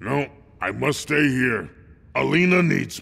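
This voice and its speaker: Putting on a growling character voice, a man speaks at a fairly slow pace and medium pitch, his voice swinging very widely up and down. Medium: video game. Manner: blunt, terse.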